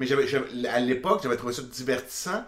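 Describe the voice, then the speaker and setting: Noticeable background noise sits under a man speaking with ordinary pitch variation. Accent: Quebec. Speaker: podcast co-host. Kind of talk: casual chat. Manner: halting.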